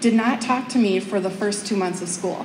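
With light background noise and audible room echo, a woman speaks at a moderate pace with ordinary pitch variation. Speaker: teacher giving a talk. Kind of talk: public speech storytelling. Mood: warm, heartfelt. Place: hall.

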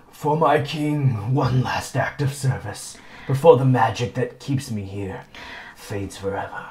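A man uses a put-on character voice. His pitch sits in the medium range. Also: moderate pace. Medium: actual play. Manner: solemn, loyal.

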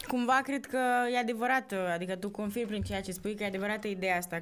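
Speaking very fast, a woman keeps her pitch variation ordinary. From Romania, Cluj; Romania. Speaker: podcast host, actor. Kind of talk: casual interview chat. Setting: studio. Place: studio. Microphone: studio mic.

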